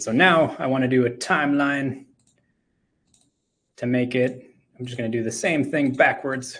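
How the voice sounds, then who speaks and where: Speaking at a moderate pace with long, frequent pauses, a man keeps a medium pitch and fairly even intonation while his volume swings a lot. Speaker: game audio educator and drum teacher. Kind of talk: live technical talk and tutorial. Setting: live talk, screen-share demo. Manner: hesitant, many fillers.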